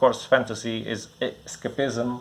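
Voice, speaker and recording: Someone mumbles at a fairly slow pace with a Portuguese accent. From Portugal. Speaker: comic bookstore owner. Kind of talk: casual product preview. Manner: halting, many fillers and repeats; mumbling.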